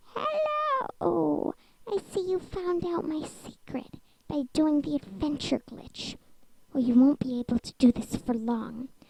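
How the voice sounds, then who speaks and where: A put-on character voice is performed at a rather slow tempo. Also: woman, high pitch for a woman. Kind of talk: horror story narration. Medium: read story.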